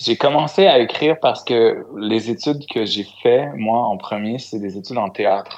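A man speaks at a fairly slow pace with a Quebec accent, his pitch medium and its variation ordinary. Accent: Québécois French. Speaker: singer-songwriter. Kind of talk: interview.

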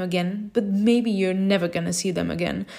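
With a non-native accent, a woman speaks fairly quickly in a dark, mellow tone with ordinary pitch variation. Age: 20s. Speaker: podcaster. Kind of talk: solo podcast monologue.

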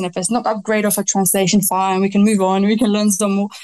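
A woman with a Romanian accent, medium pitch, monotone, flat intonation and a very fast pace. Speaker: novelist. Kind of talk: casual interview chat.

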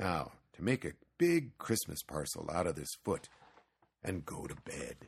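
Using a put-on character voice, a man speaks at a fairly slow pace with a low pitch and big pitch swings. Vocal fry and a slightly husky edge mark his voice.

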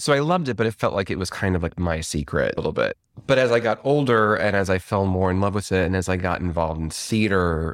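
Recorded very cleanly with a silent background and a dry, close sound with no echo, a man with an American accent speaks in a very deep, low voice with ordinary pitch variation. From Chicago suburbs, Illinois. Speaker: dancer and company artistic director. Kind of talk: casual interview conversation.

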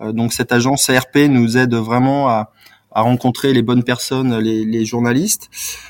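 A man talks in a medium pitch with monotone, flat intonation, keeping to a moderate pace. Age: 40s. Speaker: PR and marketing manager for a bike brand, former sports journalist. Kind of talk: interview. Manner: hesitant, many fillers and repetitions.

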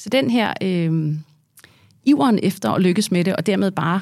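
A woman speaks with fairly low pitch and lively intonation. Vocal fry runs through her voice. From Denmark, Herlev (Copenhagen area). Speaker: business executive and board member. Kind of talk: interview.

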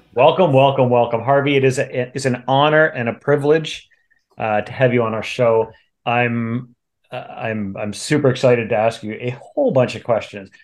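Medium in pitch, a man speaks at a moderate pace with fairly even intonation. He has an ordinary speaking voice. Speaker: music podcast host.

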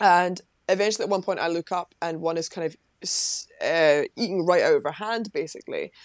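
Speaking at a fairly quick pace with fairly even intonation, a woman at a medium pitch comes through a dry, close sound with no echo on a very clean recording with a silent background. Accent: Lothian. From Scotland, Livingston, West Lothian. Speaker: parapsychologist and former psychology lecturer. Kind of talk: interview.

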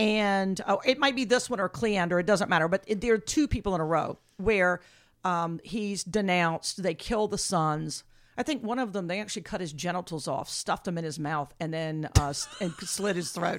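A woman's medium-pitched, a plain, everyday voice, with lively intonation and a moderate pace, in a very clean recording with a silent background. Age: 60s. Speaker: archaeologist. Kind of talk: casual lecture-style chat.

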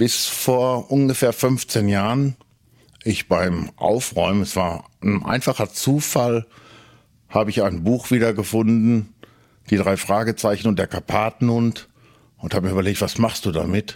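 A man with an ordinary speaking voice talks fairly slowly at fairly low pitch, with ordinary pitch variation and very even loudness. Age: middle-aged. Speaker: collector. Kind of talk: interview. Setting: at his home.

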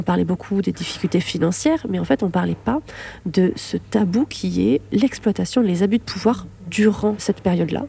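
A woman speaks with a slight southern French accent and vocal fry. Her intonation is lively and her pace moderate. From southern France, Lamalou-les-Bains (Hérault). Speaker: neurobiologist and author. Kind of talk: interview testimony. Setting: library.

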